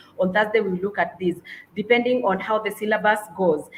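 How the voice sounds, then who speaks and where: A woman's fairly high voice carries a slight breathiness, and her pitch varies in an ordinary way. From Kenya. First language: Kenyan mother tongue, not English. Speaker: English and literature teacher. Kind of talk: webinar presentation. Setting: online webinar. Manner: halting, many fillers.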